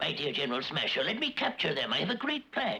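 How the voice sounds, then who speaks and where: A cartoonish character voice rattles along at a very fast pace. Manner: gloating, cackling.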